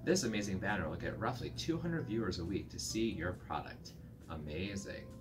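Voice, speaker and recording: Clear music sounds behind the speech. The man delivers his words at a fairly quick pace. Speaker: video reviewer. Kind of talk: casual vlog chat, review commentary. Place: home room.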